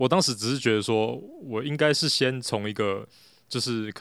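A very clean recording with a silent background carries a man's voice at medium pitch. He speaks at a fairly quick pace with ordinary pitch variation. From Taiwan, Taipei. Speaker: café owner, former engineer. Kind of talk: casual interview chat. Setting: in his café. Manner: hesitant, many fillers.

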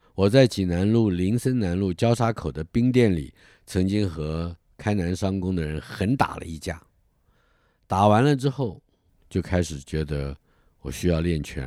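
In a very clean recording with a silent background, a man with a very deep, low pitch and a dark, mellow tone talks at a fairly slow pace with lively intonation. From Taiwan, Taipei. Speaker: writer narrating memoir. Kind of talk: scripted narration.

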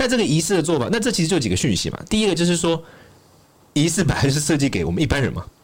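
A man's fairly high voice with vocal fry, at a very fast pace with lively intonation. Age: 20s. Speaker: Buddhist scholar and author. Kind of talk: casual chat.

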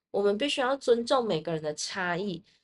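With a medium pitch, a woman's voice moves through very wide pitch swings. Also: quiet background. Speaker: podcast host. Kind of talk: solo podcast monologue.

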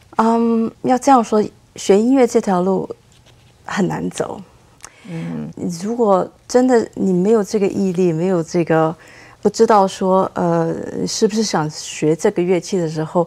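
A woman's medium-pitched voice at a fairly slow pace, with ordinary pitch variation and long, frequent pauses. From Taiwan. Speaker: cellist. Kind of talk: interview.

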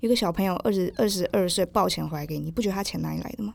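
A woman at a medium pitch with vocal fry, at a very fast pace, in a very clean recording with a silent background. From southern Taiwan. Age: 20s. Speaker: podcast guest. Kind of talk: casual interview.

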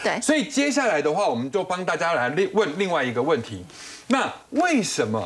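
The speaker's pitch swings very widely at a fairly quick pace. Noticeable background noise is present. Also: man. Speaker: financial analyst. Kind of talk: TV panel discussion.

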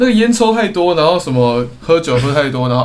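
There is audible room echo as a man talks at a fairly quick pace with ordinary pitch variation. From Taiwan. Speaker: podcast co-host. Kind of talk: casual chat.

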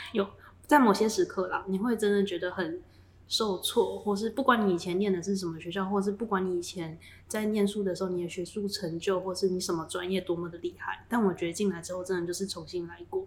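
A woman's medium-pitched, somewhat breathy voice, fairly quick in pace and with fairly even intonation. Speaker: semiconductor fab engineer. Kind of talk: casual chat.

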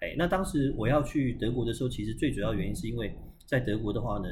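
Talking very fast, a man with vocal fry is heard with audible room echo. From Taiwan. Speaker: tour guide, studied in Germany. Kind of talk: casual chat.

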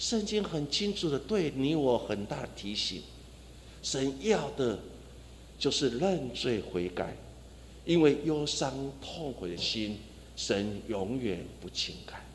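In a room with audible echo, a man at medium pitch speaks at a very slow pace with long, frequent pauses, very wide pitch swings and vocal fry. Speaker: pastor. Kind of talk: sermon. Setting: church.

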